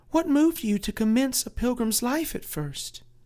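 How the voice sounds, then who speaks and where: This put-on character voice has a fairly high pitch and a gentle tone. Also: moderate pace. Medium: read story. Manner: gentle, formal.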